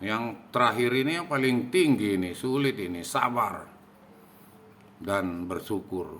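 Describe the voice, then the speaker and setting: A man's medium-pitched voice with lively intonation, a very slow pace and audible room echo. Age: 60s. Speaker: religious educator. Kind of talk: religious talk.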